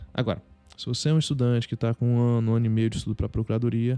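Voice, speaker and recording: Over music in the background, a man speaks fairly quickly at a medium pitch in a flat monotone. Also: dry, close sound with no echo. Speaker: state attorney and exam tutor. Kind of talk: advice monologue. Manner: fast; halting.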